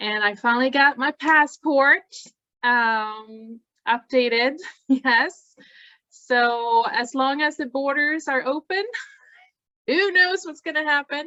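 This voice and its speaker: High-pitched woman with lively intonation, speaking at a very slow pace with long, frequent pauses. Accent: Swedish. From Sweden. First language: Swedish. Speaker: task force meeting facilitator, nonprofit director. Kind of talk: group meeting. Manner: animated.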